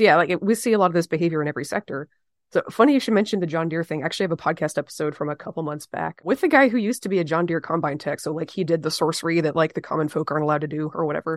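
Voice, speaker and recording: Fast-talking at a very quick pace, a woman with an American accent speaks at a fairly low pitch with ordinary pitch variation, the sound dry and close with no echo. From US South. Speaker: podcast host, agriculture. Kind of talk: casual interview. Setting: video call.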